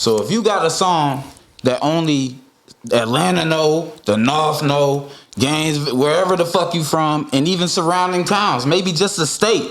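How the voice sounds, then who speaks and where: The man's pitch is fairly high, and his intonation is lively. His loudness stays very even, with audible room echo. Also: moderate pace. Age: 30s. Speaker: rapper. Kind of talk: casual chat.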